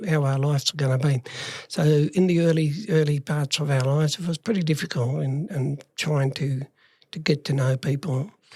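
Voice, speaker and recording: This man has an Australian accent and a fairly high pitch, with a dark, mellow, somewhat breathy tone, fairly even intonation and a moderate pace. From regional Western Australia. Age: 60s. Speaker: life story guest. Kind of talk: interview storytelling. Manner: halting, many fillers.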